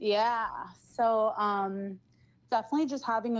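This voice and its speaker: With an ordinary speaking voice and a fairly high pitch, a woman talks fairly slowly in a very clean recording with a silent background. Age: 20s. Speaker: caller. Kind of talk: casual chat.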